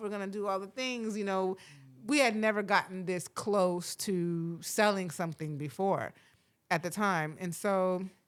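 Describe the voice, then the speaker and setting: Here is a woman with a plain, everyday voice and an American accent. She speaks at a medium pitch and moderate pace with ordinary pitch variation. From Florida. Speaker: podcast host and TV writer-producer. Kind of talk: casual podcast conversation. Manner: relaxed, many fillers.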